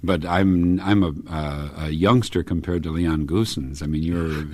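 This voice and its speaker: A man with an American accent talks at a moderate pace amid noticeable background noise. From US. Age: 60s. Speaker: orchestral oboist. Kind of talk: radio interview. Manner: hesitant, many fillers.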